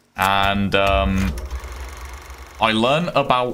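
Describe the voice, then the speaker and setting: A man with a Birmingham accent, very slow delivery, ordinary pitch variation and noticeable background noise. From Birmingham, England. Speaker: gaming streamer. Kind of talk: live gameplay stream chat. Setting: live stream. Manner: casual, hesitant with fillers.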